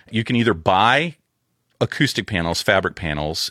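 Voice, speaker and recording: On a very clean recording with a silent background, a man talks at a moderate pace in a bright, sharp tone. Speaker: audio engineer. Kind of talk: casual chat.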